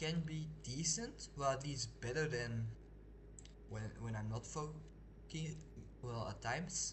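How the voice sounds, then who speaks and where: There is noticeable background noise and audible room echo. Through it, a man speaks at a fairly slow pace. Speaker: video game streamer. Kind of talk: casual live gameplay commentary. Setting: live stream. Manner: halting, with pauses and restarts; slows down when not focusing.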